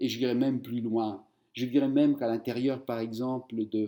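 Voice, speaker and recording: A man with a Spanish accent, medium pitch and a dark, mellow tone. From Argentina, Buenos Aires. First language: Spanish (speaking French). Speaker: writer. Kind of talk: interview.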